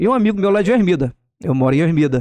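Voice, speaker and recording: A man talks at a very fast pace with lively intonation, the sound dry and close with no echo. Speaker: oratory instructor. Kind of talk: podcast interview. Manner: firm, open-mouthed delivery.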